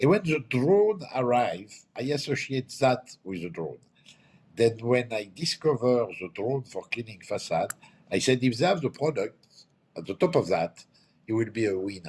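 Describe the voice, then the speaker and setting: With a French accent, a man speaks at medium pitch and a moderate pace, somewhat breathy. His pitch swings very widely. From France. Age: 60s. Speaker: company owner. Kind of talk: interview. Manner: halting.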